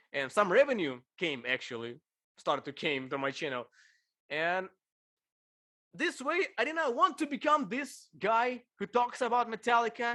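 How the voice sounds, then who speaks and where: A man with a Ukrainian accent speaks in a raised, projected voice with a bright, sharp tone. His pitch swings very widely at a moderate pace. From Ukraine. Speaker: bass player and video creator. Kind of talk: casual interview chat. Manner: slightly halting non-native phrasing.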